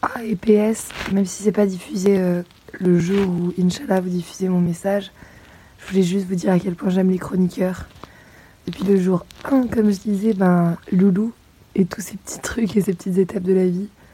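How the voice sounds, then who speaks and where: With noticeable background noise, a woman speaks at a moderate pace in a medium pitch and fairly even intonation. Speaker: listener leaving a voice message. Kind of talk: recorded voice message. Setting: walking home outdoors.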